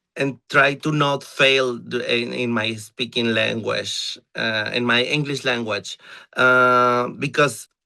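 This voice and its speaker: Speaking very slowly in a Mexican accent, a man with a bright, sharp tone keeps a medium pitch and fairly even intonation against a quiet background. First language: Spanish. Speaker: drag performer. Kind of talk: interview. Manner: halting.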